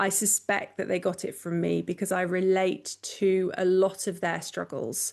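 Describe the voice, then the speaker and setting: A woman with a British accent talks at a medium pitch and a fairly slow pace. The background is quiet. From England. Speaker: professional organizer. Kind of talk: podcast interview.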